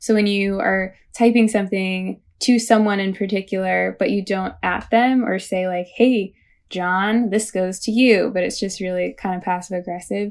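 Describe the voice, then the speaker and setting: In a Midwestern American accent, a woman with a medium pitch speaks at a moderate pace with fairly even intonation and hardly any pauses, on a very clean recording with a silent background. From US Midwest, St. Louis, Missouri. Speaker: environmental activist and writer. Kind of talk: interview.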